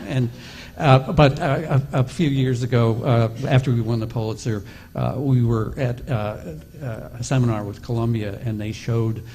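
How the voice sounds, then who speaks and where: A man, heard through noticeable background noise, keeps a moderate pace and fairly even intonation. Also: medium pitch for a man. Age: 60s. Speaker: investigative reporter. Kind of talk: panel discussion.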